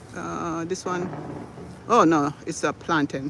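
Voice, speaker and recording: A man at a high pitch and fairly slow pace, ordinary pitch variation, noticeable background noise behind him. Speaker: gardening channel host. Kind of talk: live stream garden tour. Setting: outdoors in garden.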